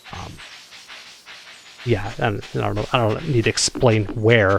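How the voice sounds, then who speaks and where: Over background music, a man with an American accent speaks fairly slowly in a fairly low pitch, with lively intonation. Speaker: gaming YouTuber. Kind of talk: casual chat while gaming. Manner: halting, many fillers and restarts.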